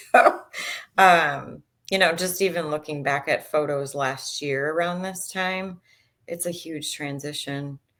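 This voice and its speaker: A woman with an American accent and a very deep, low pitch speaks at a fairly slow pace with fairly even intonation and big swings in loudness, on a very clean recording with a silent background. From US Midwest, Chicago. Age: 40s. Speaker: dietitian and diet coach. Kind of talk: podcast interview.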